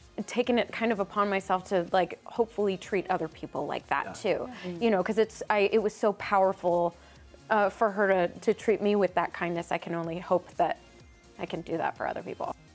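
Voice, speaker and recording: Faint music plays in the background as a woman talks at a fairly quick pace with fairly even intonation. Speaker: interview guest. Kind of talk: interview answer. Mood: warm, grateful, emotional. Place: studio. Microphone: lapel.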